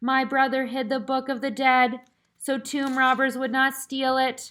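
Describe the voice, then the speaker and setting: A woman uses a put-on character voice. Her pitch is high and her intonation monotone and flat. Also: moderate pace. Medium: read story. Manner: formal, archaic, solemn.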